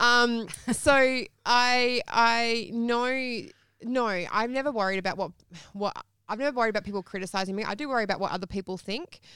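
Her tone is bright and sharp, her pitch fairly high. The woman talks at a moderate pace. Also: ordinary pitch variation, very clean recording, silent background. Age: young. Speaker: accountant and media commentator. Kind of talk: interview. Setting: studio.

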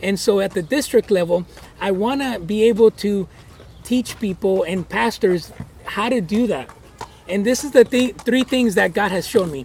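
Through noticeable background noise, a man speaks at a high pitch and a moderate pace with ordinary pitch variation. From Guatemala, moved to US at 10. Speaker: pastor and church planter. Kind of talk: interview. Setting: outdoors at a horse ranch.

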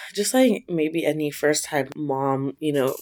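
In an American accent, a woman speaks at a very deep, low pitch and a fairly slow pace. The recording is very clean, with a silent background. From US, Filipino American family. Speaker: academic author and mother. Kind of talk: interview testimony.

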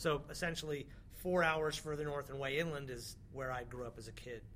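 This man talks at a moderate pace with an American accent and a fairly high pitch. His pitch variation is ordinary, and audible room echo surrounds the voice. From northern California (small town near Mount Shasta). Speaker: music industry executive. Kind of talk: interview. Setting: basement studio at a music conference.

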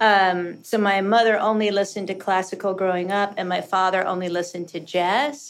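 A woman with an unremarkable speaking voice talks at a medium pitch and fairly quick pace, with fairly even intonation and hardly any pauses, on a very clean recording with a silent background. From US South, rural Kentucky. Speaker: costume designer. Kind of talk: casual interview chat.

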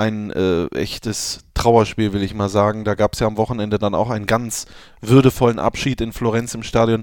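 In a very clean recording with a silent background, a man speaks at a moderate pace, his fairly low voice monotone and flat. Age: 20s. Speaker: football podcast host. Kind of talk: casual chat.

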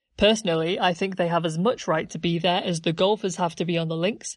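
A woman with a plain, everyday voice, fairly low pitch and fairly quick pace against a quiet background. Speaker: podcast narrator. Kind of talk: history documentary narration. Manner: measured, formal, scripted-sounding delivery; clear, explanatory, authoritative.

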